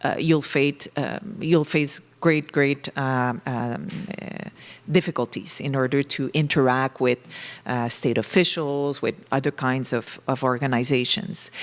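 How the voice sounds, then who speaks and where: A woman's very deep, low voice with ordinary pitch variation at a fairly slow pace. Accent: French Canadian. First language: French. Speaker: professor. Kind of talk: conference panel talk. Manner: halting, many fillers.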